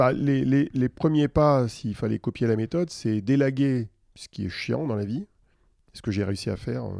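A man speaks at a fairly slow pace in a medium pitch with a dark, mellow tone, ordinary pitch variation and big swings in loudness, the sound dry and close with no echo. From Paris region, France. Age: 50s. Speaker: tech consultant and author. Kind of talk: interview conversation.

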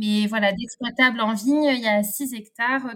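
A somewhat breathy woman's voice, fairly high in pitch, with ordinary pitch variation and a fairly slow pace. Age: 30s. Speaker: winegrower. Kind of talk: interview. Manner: halting.

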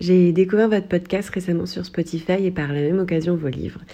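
At a fairly quick pace, a woman with a fairly low pitch and a dark, mellow tone speaks in a monotone, flat intonation. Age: 30s. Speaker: listener sending a voice note. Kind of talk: recorded voice message.

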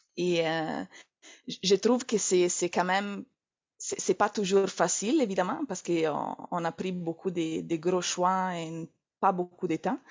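A woman with an Italian accent, very slow, with long, frequent pauses. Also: medium pitch for a woman, ordinary pitch variation. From Italy. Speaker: entrepreneur, naturopath. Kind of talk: interview. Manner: halting, repeats words.

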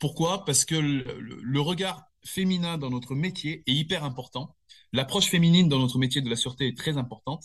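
Against a quiet background, a man with a fairly high, somewhat breathy voice talks at a fairly quick pace with ordinary pitch variation. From southern France, Nice area. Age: 50s. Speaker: security company manager. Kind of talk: interview. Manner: hesitant, many fillers and repetitions.

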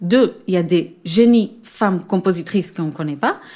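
A woman's voice, a normal speaking voice, at a moderate pace. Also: very clean recording, silent background. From Israel. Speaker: orchestra conductor. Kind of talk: interview. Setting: theatre.

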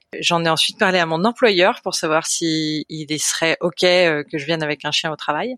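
At a fairly slow pace and fairly low pitch, a woman speaks with fairly even intonation in a dry, close sound with no echo, an unremarkable speaking voice. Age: 30s. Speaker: volunteer puppy raiser for guide dogs. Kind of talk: casual interview.

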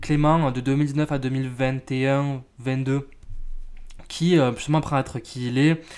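Man's voice, fairly high in pitch, with fairly even intonation. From France. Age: 20s. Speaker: podcast host. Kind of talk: casual personal monologue. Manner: hesitant, many fillers.

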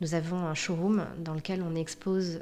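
Her tone is dark and mellow, and this woman's pitch is fairly low. She speaks at a fairly slow pace with fairly even intonation. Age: 40s. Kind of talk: interview. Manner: halting.

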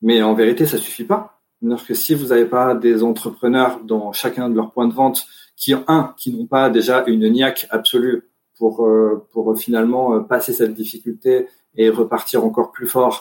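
A man at a medium pitch talks fairly slowly, his intonation fairly even. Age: 30s. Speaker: investment fund director. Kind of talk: interview. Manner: halting.

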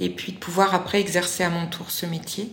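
Over noticeable background noise and audible room echo, a woman speaks at a fairly slow pace with a fairly low pitch and fairly even intonation. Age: 40s. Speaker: educational support worker retraining as job counsellor. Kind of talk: testimony. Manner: hesitant, many fillers.

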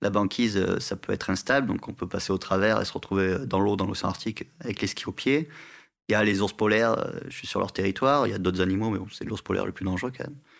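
On a very clean recording with a silent background, a man with a fairly low voice and ordinary pitch variation talks at a very fast pace. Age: 30s. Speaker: polar guide. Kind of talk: interview. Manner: hesitant, with filler sounds.

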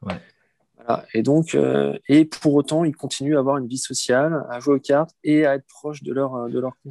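A man with a dark, mellow tone and fairly high pitch, fairly even intonation, big swings in loudness and a moderate pace, in a dry, close sound with no echo. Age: 40s. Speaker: nursing home director. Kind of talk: interview. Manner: halting, many repetitions and fillers.

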